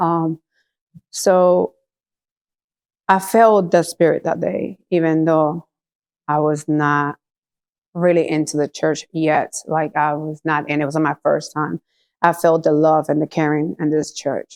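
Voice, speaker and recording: With a Puerto Rican accent, a woman speaks at a very deep, low pitch and fairly even intonation, in a dry, close sound with no echo. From Puerto Rico. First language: Spanish. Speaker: church member giving testimony. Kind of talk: testimony. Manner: halting.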